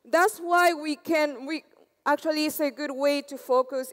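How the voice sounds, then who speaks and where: In an Argentine accent, a woman speaks at a fairly slow pace and a high pitch. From Argentina. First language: Spanish. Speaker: conference speaker, developer. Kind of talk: tech conference talk.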